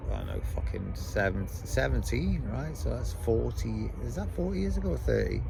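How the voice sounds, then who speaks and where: In an English accent, a man with a very deep, low pitch and ordinary pitch variation talks at a moderate pace with hardly any pauses, amid audible room echo and music in the background. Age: 50s. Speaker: vlogger. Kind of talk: casual chat. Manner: animated.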